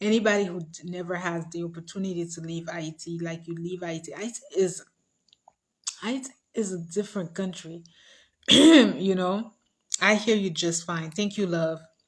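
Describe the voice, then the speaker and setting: A woman with a fairly low pitch and a somewhat breathy voice talks at a moderate pace with fairly even intonation, big swings in loudness, and long, frequent pauses. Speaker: livestream host. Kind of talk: casual livestream chat.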